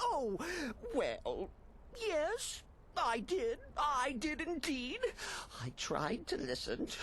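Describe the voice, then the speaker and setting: A put-on character voice, high-pitched and theatrical, moves at a very slow pace with long, frequent pauses. Clear background noise runs behind it. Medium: video game. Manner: manic, sing-song, theatrical.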